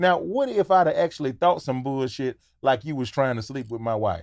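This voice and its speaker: Very wide pitch swings from a man at a moderate pace, on a very clean recording with a silent background. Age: 40s. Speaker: comedian and podcaster. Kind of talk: casual chat.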